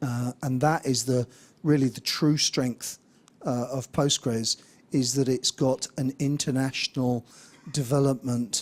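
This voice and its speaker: A fairly slow, monotone delivery in an English accent, with flat intonation and a dry, close sound with no echo. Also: man, medium pitch for a man. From England. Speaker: conference speaker, software developer. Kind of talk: conference talk. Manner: hesitant, many fillers.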